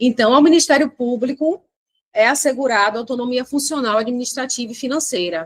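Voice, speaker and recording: A woman's high-pitched voice, animated in tone, with ordinary pitch variation. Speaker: exam prep teacher. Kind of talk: lecture. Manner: fast.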